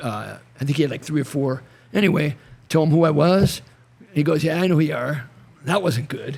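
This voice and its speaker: A man with an American accent talks at a fairly quick pace in a fairly high pitch, with vocal fry. His speech is broken by long, frequent pauses. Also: ordinary pitch variation. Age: 70s. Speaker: retired wrestling coach. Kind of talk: casual chat. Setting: podcast in a garage.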